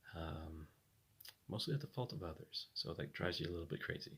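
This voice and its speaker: A man speaks at a fairly quick pace, somewhat breathy. His pitch swings are very wide. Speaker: vlogger. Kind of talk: personal vlog monologue. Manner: halting.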